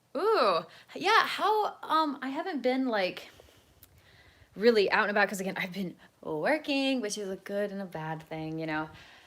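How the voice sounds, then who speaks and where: Animated in tone, a woman with a medium pitch speaks at a moderate pace, her pitch swinging very widely and her loudness rising and falling in big swings. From US South, North Carolina. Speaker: vlogger. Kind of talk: casual livestream chat. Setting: selfie-stick video at home.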